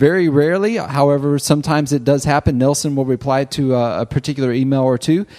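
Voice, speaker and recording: This man has a dark, mellow tone. His pitch sits fairly high. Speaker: ministry organization president. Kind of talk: casual chat.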